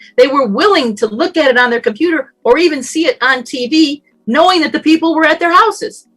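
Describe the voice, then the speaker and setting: The voice moves through very wide pitch swings at a fairly quick pace. Music plays in the background. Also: woman. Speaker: radio personality. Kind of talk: summit talk. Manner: conversational.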